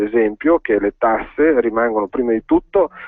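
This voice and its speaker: Medium male pitch with ordinary variation, delivered at a moderate pace. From northern Italy, Valtellina (Sondrio). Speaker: provincial politician. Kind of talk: radio interview. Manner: hesitant, many fillers.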